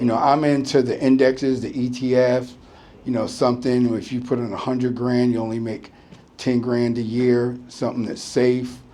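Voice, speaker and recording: With an American accent, the speaker's intonation stays monotone and flat over audible room echo. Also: man, medium pitch for a man, moderate pace. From United States. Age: 60s. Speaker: retired business owner. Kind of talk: interview. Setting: business premises. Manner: halting.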